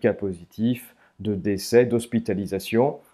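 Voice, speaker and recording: A man's fairly low-pitched voice, dark and mellow in tone, over a quiet background. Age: 30s. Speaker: statistician and author. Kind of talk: interview. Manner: frequent hesitations (euh).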